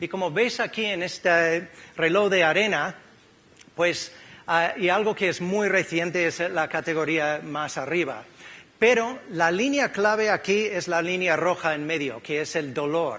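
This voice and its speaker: At a fairly slow pace, a speaker with an American accent talks with ordinary pitch variation. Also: man, high pitch for a man. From California, US. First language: English (speaking Spanish). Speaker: physiotherapist. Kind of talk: conference talk. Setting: stage with audience.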